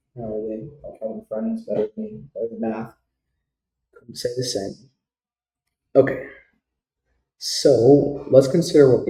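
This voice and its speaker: Speaking at a fairly slow pace with long, frequent pauses, a man with a fairly high, somewhat breathy voice shows very wide pitch swings and big swings in loudness. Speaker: student making tutorial videos. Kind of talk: tutorial. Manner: casual, self-correcting.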